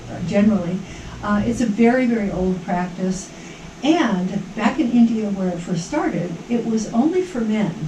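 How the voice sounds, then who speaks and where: Audible room echo and noticeable background noise surround a woman speaking at a moderate pace, her medium pitch showing ordinary variation. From Hawaii. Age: 70s. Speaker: yoga instructor. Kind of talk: interview. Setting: radio studio. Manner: casual, animated.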